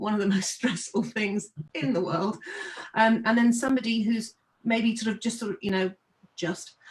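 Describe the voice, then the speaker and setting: Speaking fairly quickly, a woman uses a medium pitch with ordinary pitch variation. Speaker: webinar host and string teacher. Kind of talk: webinar discussion. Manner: loud.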